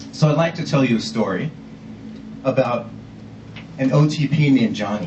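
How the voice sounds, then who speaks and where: A man talks at a moderate pace in a medium pitch with ordinary pitch variation. He leaves long, frequent pauses, with noticeable background noise and audible room echo. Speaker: ad-tech innovation manager, conference speaker. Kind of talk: conference talk. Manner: casual, storytelling.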